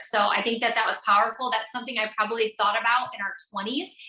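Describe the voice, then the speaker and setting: The voice is loud and animated, with a bright, sharp tone and a fairly quick pace. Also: woman. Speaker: network marketing entrepreneur, podcast guest. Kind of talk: casual interview. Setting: video call from home office.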